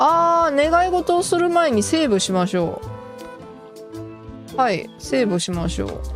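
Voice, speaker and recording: With music in the background, a woman speaks at a moderate pace in a Kansai accent, leaving long, frequent pauses. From Kansai, Japan. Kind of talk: casual gameplay commentary.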